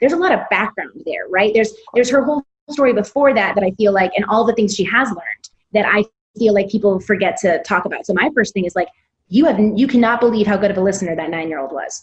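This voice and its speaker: This woman talks at a very fast pace in an American accent. Her voice is somewhat breathy, with lively intonation. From US, Missouri. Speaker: self-directed education founder, former teacher. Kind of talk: podcast interview.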